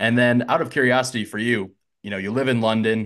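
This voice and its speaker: Against a quiet background, a man with an American accent talks at a fairly quick pace. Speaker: podcast host. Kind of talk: casual chat. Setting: video call.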